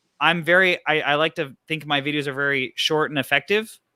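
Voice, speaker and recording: A man's fairly high, bright, sharp voice with fairly even intonation, on a very clean recording with a silent background. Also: dry, close sound with no echo. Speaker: bike YouTuber, show co-host. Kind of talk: casual panel chat on live stream.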